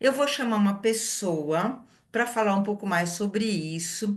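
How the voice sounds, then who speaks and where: This is an ordinary speaking voice. It has ordinary pitch variation. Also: woman. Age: 60s. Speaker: wellness product consultant hosting a live session. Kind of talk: live webinar introduction.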